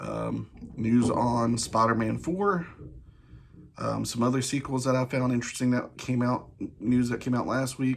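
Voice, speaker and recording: A soft-spoken man talks at a moderate pace with fairly even intonation amid noticeable background noise. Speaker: movie news youtuber. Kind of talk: casual news commentary. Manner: soft, low; halting, many fillers.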